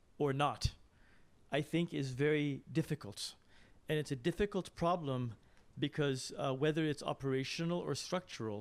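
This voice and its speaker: In an ordinary speaking voice, a man talks at a moderate pace and a fairly high pitch with ordinary pitch variation, captured in a very clean recording with a silent background. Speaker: academic questioner at a conference. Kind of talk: Q&A question after a talk.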